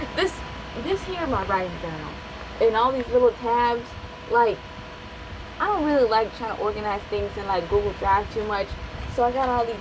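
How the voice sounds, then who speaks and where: Long, frequent pauses from a woman with a strong Appalachian accent and lively intonation, amid noticeable background noise. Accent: strong Appalachian hillbilly. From West Virginia, Appalachia. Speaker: aspiring novelist, video creator. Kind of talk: casual vlog talk. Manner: fast, sometimes slurred; rambling, hesitant with fillers.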